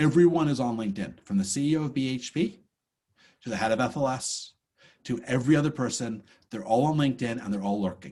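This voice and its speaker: A man talks fairly quickly in a somewhat breathy, medium-pitched voice with an animated tone and lively intonation. The recording is very clean, with a silent background. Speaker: course instructor. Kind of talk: lecture. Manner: fast.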